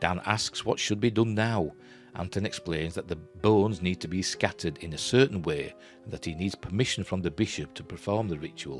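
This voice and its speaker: Over music in the background, a man with a Yorkshire accent talks at a fairly quick pace in a very deep, low pitch. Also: ordinary pitch variation. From Yorkshire, England. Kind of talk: script treatment reading.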